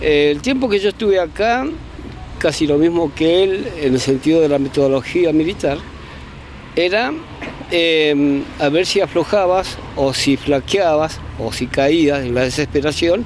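A man with an Argentine accent, fairly high pitch, fairly slow pace and very even loudness, over noticeable background noise. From Argentina, Bariloche. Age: 60s. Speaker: former political detainee. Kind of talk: testimony.

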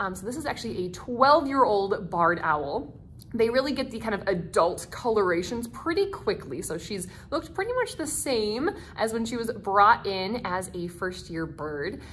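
Against light background noise, a woman talks at a moderate pace with very wide pitch swings. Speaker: nature center educator. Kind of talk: educational talk. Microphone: phone near.

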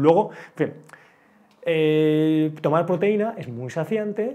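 A man speaks at a very slow pace, his pitch fairly high and his intonation lively. His loudness swings widely from moment to moment. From Spain, Bilbao; Spain. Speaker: wellbeing expert; speaker. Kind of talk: talk to a live audience. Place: classroom.

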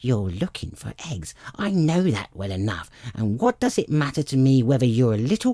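Reading in an unforced voice

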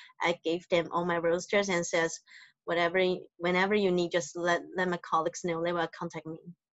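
Against a quiet background, a woman speaks at a fairly quick pace and fairly low pitch with monotone, flat intonation, the sound dry with no echo. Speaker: hotel front office manager. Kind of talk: interview. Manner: soft-spoken; halting. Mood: soft-spoken, warm. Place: home room. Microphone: video call.

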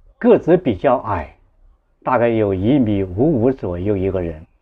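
At a very slow pace, a man speaks with very wide pitch swings. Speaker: online storyteller. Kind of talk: personal storytelling. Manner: halting, with repetitions and fillers. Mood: earnest, moved. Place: home room. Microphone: lapel.

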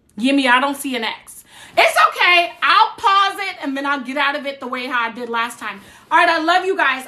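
A woman with an American accent uses a raised, projected voice at a fairly quick pace. Her high pitch has a bright, sharp tone. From New Jersey. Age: 40s. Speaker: social media creator. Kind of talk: casual livestream talk. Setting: TikTok livestream. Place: home room. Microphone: phone near.

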